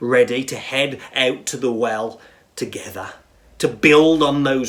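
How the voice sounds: With ordinary pitch variation, the speaker reads in a natural voice.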